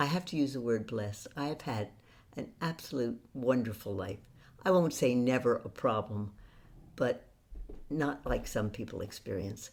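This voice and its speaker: A woman with a very deep, low pitch speaks at a moderate pace with lively intonation. Her pauses are long and frequent. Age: 80s+. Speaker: author and occasional actress. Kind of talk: interview storytelling.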